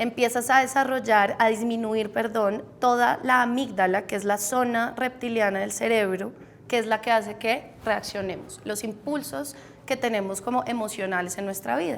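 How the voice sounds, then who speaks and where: A woman speaks at a moderate pace with ordinary pitch variation. It is a normal speaking voice. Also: fairly high pitch for a woman. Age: 30s. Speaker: meditation teacher and entrepreneur. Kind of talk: interview.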